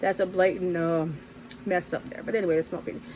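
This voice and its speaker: At a fairly quick pace, a woman talks at a medium pitch over noticeable background noise. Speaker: YouTuber and podcaster. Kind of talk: casual opinion monologue. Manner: rambling, hesitant with fillers.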